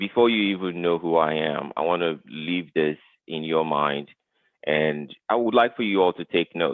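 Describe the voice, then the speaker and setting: With a very deep, low pitch, a man talks at a moderate pace and ordinary pitch variation. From Nigeria, Lagos. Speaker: tech professional, guest speaker. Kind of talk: webinar talk.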